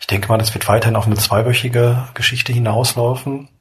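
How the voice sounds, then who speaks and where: A man speaks in a monotone, flat way. Noticeable background noise can be heard. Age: 30s. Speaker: podcaster and blogger. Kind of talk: solo podcast monologue. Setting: at home lying in bed. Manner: relaxed, casual.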